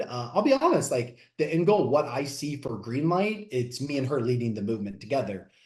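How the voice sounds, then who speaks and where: An energetic man with an American accent speaks at a medium pitch. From US Midwest, Southeast Missouri. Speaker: fitness coach. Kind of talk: podcast interview. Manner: loud.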